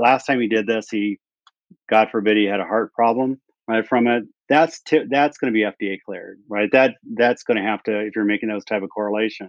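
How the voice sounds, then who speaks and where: A man with a medium pitch and an ordinary speaking voice, at a fairly quick pace with fairly even intonation. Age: 60s. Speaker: health technology company executive. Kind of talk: interview.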